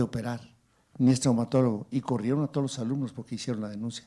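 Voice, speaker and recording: A man speaks at a medium pitch with a Mexican accent and a dark, mellow tone. The recording is very clean, with a silent background. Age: 60s. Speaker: legislator and physician. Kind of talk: panel discussion. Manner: animated.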